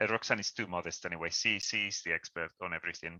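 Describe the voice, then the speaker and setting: A man speaks with a Spanish accent. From Spain. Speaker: cycling campaign leader. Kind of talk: presentation on a video call. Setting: video call. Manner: halting, many repetitions.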